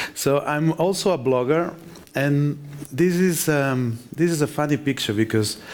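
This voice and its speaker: This man speaks with a Spanish accent. His pitch is fairly high, with ordinary pitch variation. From Spain. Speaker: conference speaker, software developer. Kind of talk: conference talk.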